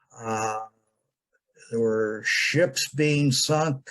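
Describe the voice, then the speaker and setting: A man talks with fairly even intonation in a somewhat breathy voice. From United States. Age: 70s. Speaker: interviewee recalling his early life. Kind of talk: interview. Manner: halting, many fillers.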